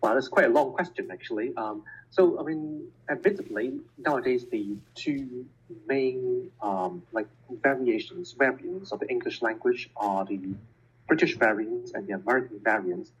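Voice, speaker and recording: With a Cantonese accent, the man keeps a moderate pace broken by long, frequent pauses. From Hong Kong. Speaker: scientist and educator. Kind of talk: interview.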